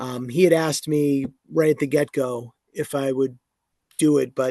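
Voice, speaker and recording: A man speaks in a dark, mellow tone at a fairly high pitch, with fairly even intonation and a moderate pace. The sound is dry and close with no echo. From New England. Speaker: professional wrestling ring announcer. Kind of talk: podcast interview answer.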